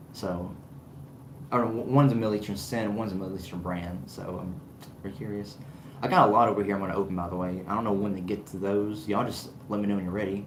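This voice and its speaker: Someone with an American accent speaks at a very fast pace with ordinary pitch variation, amid audible room echo and noticeable background noise. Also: man, fairly low pitch for a man. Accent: Southern US accent, kept down. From US South. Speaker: fragrance reviewer, channel owner. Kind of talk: livestream chat with viewers. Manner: animated.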